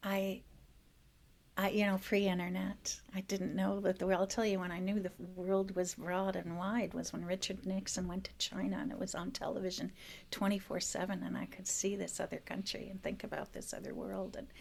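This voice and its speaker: A woman with an American accent, vocal fry, fairly even intonation and a moderate pace. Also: medium pitch for a woman. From US Midwest, northern Wisconsin. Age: 60s. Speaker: restorative justice practitioner and teaching artist. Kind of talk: podcast interview.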